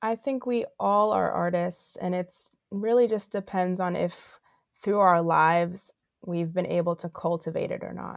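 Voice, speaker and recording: This is a plain, everyday voice with ordinary pitch variation. It moves at a fairly slow pace over a quiet background. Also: woman, medium pitch for a woman. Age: 20s. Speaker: actress and creative director. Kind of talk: casual interview.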